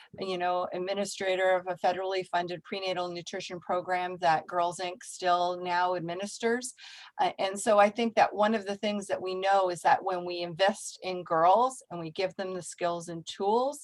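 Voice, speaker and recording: A woman at a medium pitch and moderate pace, with fairly even intonation and hardly any pauses. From Canada (immigrated from Czech Republic as child). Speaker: nonprofit executive director. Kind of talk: guest talk in video meeting.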